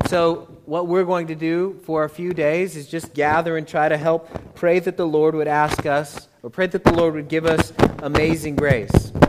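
Noticeable background noise sits behind a voice with an American accent, delivered at a moderate pace with fairly even intonation. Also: man, fairly high pitch for a man. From United States. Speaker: visiting pastor. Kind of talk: sermon. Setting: church.

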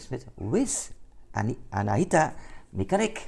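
A man's fairly high voice carries vocal fry and very wide pitch swings. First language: Dutch. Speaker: podcast host. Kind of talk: interview. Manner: halting.

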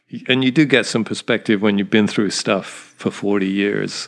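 A man with an ordinary speaking voice, a fairly low pitch, ordinary pitch variation, and a moderate pace against a quiet background. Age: 60s. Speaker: businessman and retail founder. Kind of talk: casual interview chat. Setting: home, in person.

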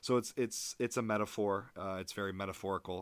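A man's very deep, low voice with an American accent, fairly even intonation and a fairly quick pace. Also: very clean recording, silent background. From Michigan, US. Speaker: podcast host and Spanish teacher. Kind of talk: solo podcast monologue, film reviews. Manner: many filler words, hesitant. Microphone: new microphone.

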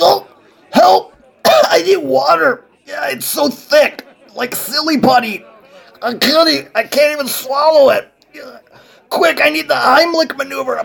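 A man's put-on character voice, extremely high in pitch, broken by long, frequent pauses. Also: fairly slow pace. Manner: frantic, comedic.

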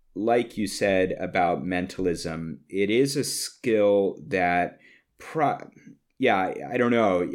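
A man talks at a very slow pace. The recording is very clean, with a silent background. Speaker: podcast co-host interviewer. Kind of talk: casual interview.

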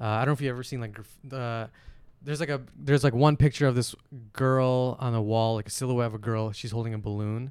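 With an American accent, this man rattles along at a very fast pace, his voice at a medium pitch and his intonation fairly even. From Flint, Michigan, US. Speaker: podcast guest. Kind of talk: casual chat.

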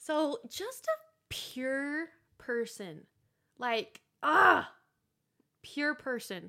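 A woman's raised, projected voice, high in pitch and bright and sharp in tone, with very wide pitch swings, a very slow pace and long, frequent pauses. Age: 20s. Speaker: podcast host. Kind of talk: casual chat.

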